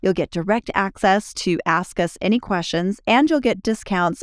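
A woman's normal speaking voice at a moderate pace, with ordinary pitch variation and a dry, close sound free of echo. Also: very clean recording, silent background. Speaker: relationship podcast host. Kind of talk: podcast conversation between married co-hosts.

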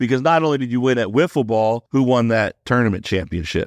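Over a quiet background, a man with a fairly low voice speaks in an animated tone at a fairly quick pace. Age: 40s. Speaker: podcast host. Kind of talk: casual chat.

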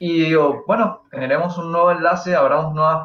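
A man speaks in a normal speaking voice at a moderate pace. His pitch is fairly high. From Argentina, Mendoza. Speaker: YouTube collectibles creator. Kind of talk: casual chat.

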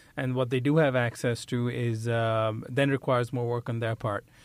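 An ordinary speaking voice from a man, medium in pitch, with fairly even intonation. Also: very clean recording, silent background. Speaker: podcast host. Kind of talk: interview.

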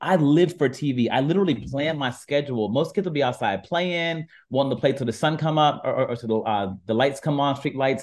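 With an American accent and a normal speaking voice, a man pitched fairly high talks at a fairly quick pace with ordinary pitch variation. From US Midwest, Warren, Ohio. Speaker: app founder and entertainment journalist. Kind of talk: interview.

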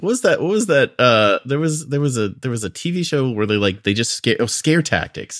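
A man's fairly high voice at a fairly quick pace, with very wide pitch swings, in a very clean recording with a silent background. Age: 40s. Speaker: guest movie picker. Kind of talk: casual chat. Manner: halting, many repetitions.

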